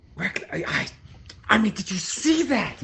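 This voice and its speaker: A man's strained, put-on character voice, high in pitch, at a moderate pace. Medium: actual play. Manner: excitable, unrestrained.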